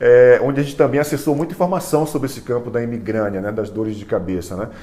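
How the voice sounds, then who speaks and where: Lively intonation carries the speech, with audible room echo around it. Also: man. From Brazil, Salvador (Bahia). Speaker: neuropsychologist. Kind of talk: online class / lecture. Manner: halting, frequent repetitions and fillers.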